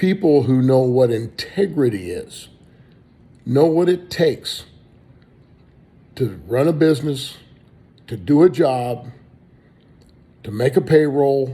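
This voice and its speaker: A man with an American accent and a dark, mellow tone speaks somewhat breathily at a very slow pace, fairly high-pitched, with long, frequent pauses. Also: lively intonation. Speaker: political candidate. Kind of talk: campaign speech.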